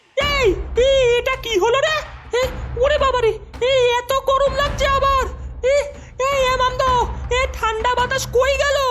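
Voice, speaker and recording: This is a cartoonish character voice that sounds female. Its pitch is extremely high. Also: moderate pace. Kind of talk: comic horror cartoon voice. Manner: shrill and bossy.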